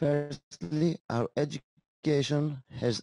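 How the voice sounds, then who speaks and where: In a Greek accent, a man speaks with fairly even intonation in a dry, close sound with no echo. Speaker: school teacher. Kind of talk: conference presentation. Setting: conference session. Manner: halting.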